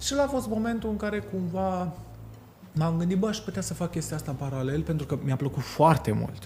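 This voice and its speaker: This man's voice sits at a fairly high pitch with very wide pitch swings. He speaks at a fairly quick pace. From Romania, Sibiu. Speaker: florist. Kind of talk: casual chat. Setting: hotel.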